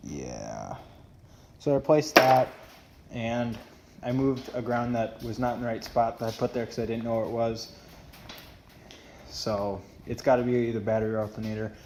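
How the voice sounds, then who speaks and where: A man speaks with fairly even intonation and long, frequent pauses. There is noticeable background noise. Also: medium pitch for a man, moderate pace. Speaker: car vlogger. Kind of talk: casual vlog talk to camera. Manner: rambling, hesitant with fillers.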